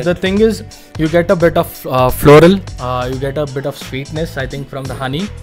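Faint music plays in the background as a man speaks at a moderate pace. His loudness swings widely, with ordinary pitch variation. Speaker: whisky review channel host. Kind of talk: casual talk to camera, interview host. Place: home room.

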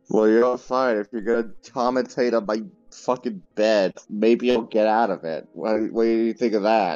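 With music playing in the background, a man of medium pitch talks at a moderate pace with fairly even intonation. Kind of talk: casual chat. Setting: lying in bed.

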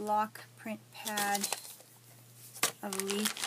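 A woman speaks over loud background noise. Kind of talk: casual vlog chat. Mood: pleased, chatty. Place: home room.

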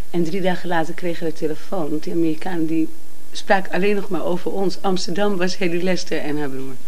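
This woman talks at a very fast pace in a fairly low pitch. Her intonation stays fairly even. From Amsterdam, Netherlands. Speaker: singer and cabaret performer. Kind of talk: interview. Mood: warm, laughing at times. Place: home room. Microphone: handheld.

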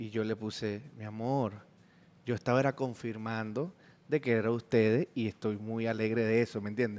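A man with a Venezuelan accent, fairly even intonation and a moderate pace. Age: 30s. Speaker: comedian. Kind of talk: casual chat. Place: studio. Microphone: studio mic.

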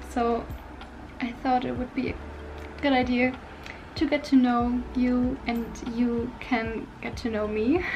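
With a non-native accent, a woman talks at a very slow pace and a high pitch, using fairly even intonation, long and frequent pauses, and light background noise behind her. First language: not English. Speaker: vlogger. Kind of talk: casual talk to camera. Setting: home, background noises. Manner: hesitant, many fillers. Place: home room. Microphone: phone near.

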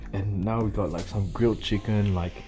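A man talks at a fairly quick pace in a very deep, low pitch. Music plays clearly in the background. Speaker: travel vlogger. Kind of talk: casual vlog chat. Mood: relaxed, happy. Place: home room. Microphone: phone near.

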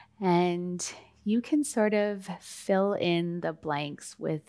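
Soft-spoken, a woman talks in a calm, soothing tone at a fairly low pitch. Her pitch varies an ordinary amount. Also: quiet background. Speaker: meditation guide. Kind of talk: guided meditation. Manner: calm, slow, soothing; soft-spoken, gentle pacing. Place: studio.

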